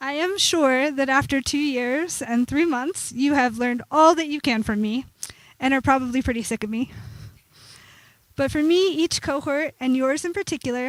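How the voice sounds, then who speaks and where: A woman with a high pitch talks at a moderate pace, her pitch varying in an ordinary way. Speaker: program director and instructor. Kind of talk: ceremony speech. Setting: graduation ceremony with audience. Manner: soft-spoken.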